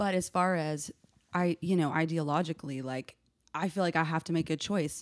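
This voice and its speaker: With an American accent, a woman talks at a fairly quick pace in fairly even intonation and fairly low pitch, a plain, everyday voice. The sound is dry and close with no echo, a very clean recording with a silent background. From US South, Nashville, Tennessee. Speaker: artist and activist. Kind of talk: casual chat.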